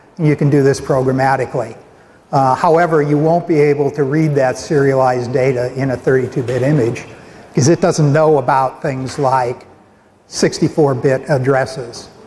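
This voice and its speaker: At a moderate pace, a man talks with fairly even intonation over light background noise. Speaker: conference presenter. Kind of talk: technical talk. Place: hall.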